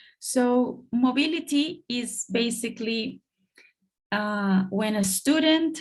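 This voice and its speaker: With a Colombian accent, the voice sounds somewhat breathy and moves through ordinary pitch variation. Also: woman. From Colombia, Bogota. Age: 30s. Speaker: international education officer. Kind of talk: online presentation. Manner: hesitant, with fillers.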